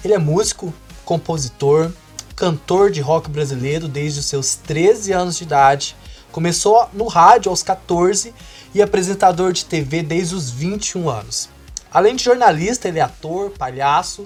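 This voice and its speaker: Music plays in the background as a man talks at a moderate pace. His pitch is high, with ordinary variation. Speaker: podcast host. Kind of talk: podcast intro.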